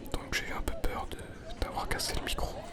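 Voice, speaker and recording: A man whispers in a calm tone at a moderate pace. Noticeable background noise sits behind him. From Switzerland. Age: young. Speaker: ASMR artist. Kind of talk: casual vlog talk while walking. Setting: outdoors, public park. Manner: soft-spoken, calm.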